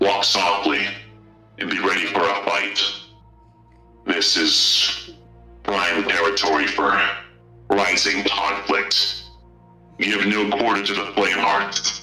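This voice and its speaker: Faint music plays in the background as a man in a put-on character voice speaks at a fairly low pitch, fairly slowly, with monotone, flat intonation. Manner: low, quiet, cautious.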